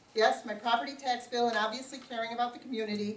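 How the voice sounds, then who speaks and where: In an American accent, a woman talks at a very fast pace with ordinary pitch variation. Noticeable background noise and audible room echo are present. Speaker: local politician. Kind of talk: campaign speech. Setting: community forum with audience, no microphone.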